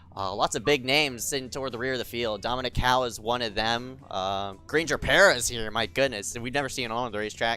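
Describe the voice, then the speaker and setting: Over a silent background in a very clean recording, a man talks at a very fast pace with hardly any pauses, using a medium pitch, ordinary pitch variation, and a bright, sharp tone. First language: not English. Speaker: sim racing commentator. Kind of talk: live commentary. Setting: livestream.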